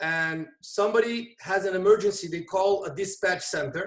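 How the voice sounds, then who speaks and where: At a fairly slow pace, a man with a Portuguese accent speaks in a high pitch with ordinary pitch variation. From Brazil. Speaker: volunteer EMT. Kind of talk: interview conversation.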